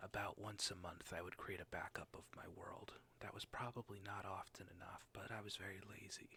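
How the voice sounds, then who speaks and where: Someone whispers at a moderate pace. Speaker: streamer. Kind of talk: ASMR gaming stream narration. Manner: soft-spoken.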